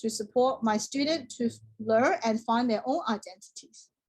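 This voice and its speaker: Speaking at a moderate pace, a woman uses a fairly high pitch with ordinary variation. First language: Chinese. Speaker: teacher-training student. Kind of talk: class presentation. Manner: formal.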